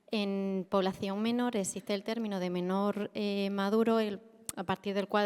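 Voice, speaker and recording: A soft-spoken woman talks at a medium pitch. Her intonation is monotone and flat. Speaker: audience member asking a question. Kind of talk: conference Q&A question.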